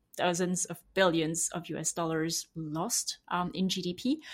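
A woman with a French accent on a very clean recording with a silent background. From France. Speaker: sanctions expert, author. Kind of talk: interview.

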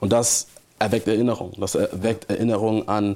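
At a fairly quick pace, a man speaks in a fairly low, monotone, flat voice. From Hamburg, northern Germany. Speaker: theology student and church trainee. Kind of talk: church interview.

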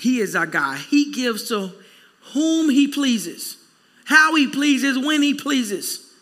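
A man's raised, projected voice at an extremely high pitch, with lively intonation, a fairly slow pace and audible room echo. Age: 40s. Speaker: pastor. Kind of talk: sermon.

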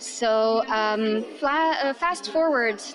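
This is a woman speaking. She talks with a Romanian accent. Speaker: English teacher, pub quiz host. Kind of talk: casual interview storytelling.

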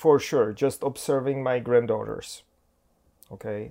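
In a very clean recording with a silent background, a man with a non-native accent speaks at a medium pitch. His pace is fairly slow and his pitch variation ordinary. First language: not English. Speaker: pastor. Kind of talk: casual chat. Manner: halting.

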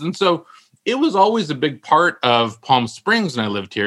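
With an American accent, a man talks at a moderate pace, his tone bright and sharp and his intonation lively. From US West Coast (San Francisco Bay Area). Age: 50s. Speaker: novelist. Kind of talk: casual chat.

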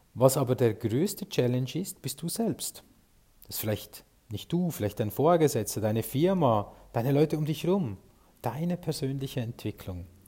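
A somewhat breathy man speaks at a medium pitch with a dark, mellow tone. He keeps a moderate pace, and his pitch swings very widely. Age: 40s. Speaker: podcast host and sales consultant. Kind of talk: solo podcast monologue.

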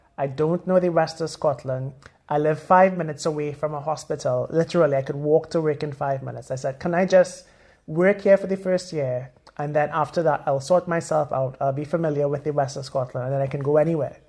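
A man's somewhat breathy voice moves along fairly quickly, its intonation staying fairly even. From Trinidad and Tobago. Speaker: consultant surgeon. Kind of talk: podcast panel discussion.

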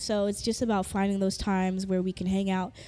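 On a very clean recording with a silent background, a woman with a Southern California accent speaks fairly quickly at a medium pitch in a dark, mellow tone. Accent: Southern California American English. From Los Angeles (Inglewood, Carson), Jamaican heritage. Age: 30s. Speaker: DJ and music producer. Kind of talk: casual interview chat. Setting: studio.

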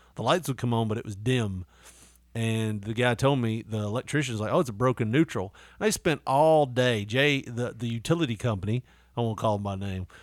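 A man's medium-pitched voice with a Southern US accent, fairly quick pace, ordinary pitch variation, and a very clean recording over a silent background. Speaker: podcast host. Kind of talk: casual chat. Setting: studio. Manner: animated.

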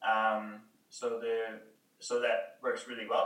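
A man talks with audible room echo around him. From Canada. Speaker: cafe co-owner. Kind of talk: casual chat.

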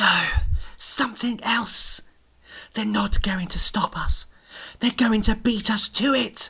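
A put-on character voice, fairly high in pitch, at a fairly slow pace with long, frequent pauses. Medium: read story. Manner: grave, ominous.

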